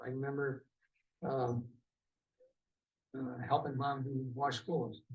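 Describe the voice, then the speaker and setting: With an Upper Midwest accent, the speaker sounds somewhat breathy and leaves long, frequent pauses. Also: man. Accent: Upper Midwest American. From Wisconsin. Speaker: war veteran. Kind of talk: oral history interview. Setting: veterans' hall.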